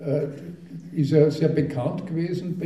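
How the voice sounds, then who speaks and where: At a moderate pace, a man talks with audible room echo and noticeable background noise. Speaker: dialect poet. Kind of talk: talk and poetry reading.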